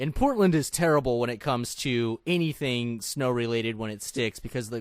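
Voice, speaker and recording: A plain, everyday voice with an American accent. The pace is moderate. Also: man. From US Southwest desert. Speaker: podcast host. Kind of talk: casual chat.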